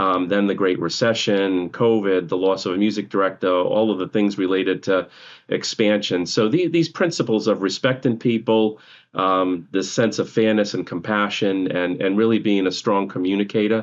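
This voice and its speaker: Speaking at a moderate pace with a New England accent, a man uses a fairly low pitch, ordinary pitch variation and very even loudness. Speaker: nonprofit orchestra CEO. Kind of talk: podcast interview. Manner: frequent filler words (um, uh).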